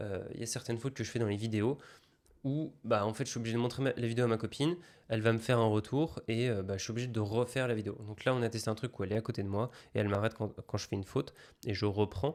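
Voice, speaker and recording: Speaking at a very fast pace, a man keeps a medium pitch and fairly even intonation. The recording is very clean, with a silent background. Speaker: online business content creator. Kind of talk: casual vlog. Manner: hesitant, many filler sounds.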